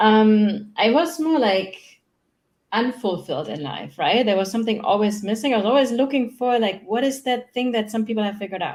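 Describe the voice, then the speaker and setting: A woman with a German accent talks at a fairly quick pace with lively intonation on a very clean recording with a silent background. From Germany. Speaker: human design mentor. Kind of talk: casual interview. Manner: fast.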